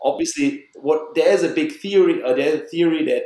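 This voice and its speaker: With a German accent, a man speaks at a moderate pace. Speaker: biological dentist. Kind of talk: podcast interview.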